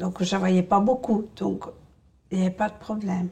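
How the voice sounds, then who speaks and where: A woman at medium pitch with vocal fry, ordinary pitch variation and a moderate pace. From rural France. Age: 60s. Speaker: essential tremor patient. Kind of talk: testimony. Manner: hesitant, many fillers.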